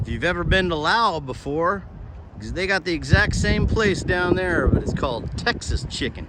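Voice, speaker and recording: Over noticeable background noise, a man with a slight Southern accent and a high pitch speaks at a fairly slow pace with lively intonation. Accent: slight southern drawl. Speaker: travel vlogger. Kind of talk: walking tour vlog narration.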